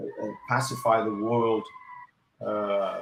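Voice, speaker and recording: With a Portuguese accent, a man speaks at a medium pitch in a monotone, flat intonation. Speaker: election analyst. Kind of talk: panel discussion. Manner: halting, many fillers.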